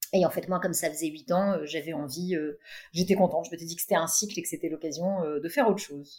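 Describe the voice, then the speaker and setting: A woman talks very fast in a fairly low, dark, mellow voice. Her intonation is fairly even, while her loudness swings widely. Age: 50s. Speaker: tech entrepreneur. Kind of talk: interview.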